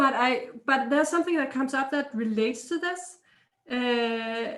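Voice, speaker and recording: A woman with a Danish accent talks at a moderate pace. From Denmark. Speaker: healer and energy intuitive. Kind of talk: interview.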